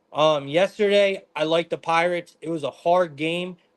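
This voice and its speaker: A man speaks loudly at a high pitch. The sound is dry and close, with no echo. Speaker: sports betting stream host. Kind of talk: live stream sports betting analysis. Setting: live stream from living room. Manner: intense.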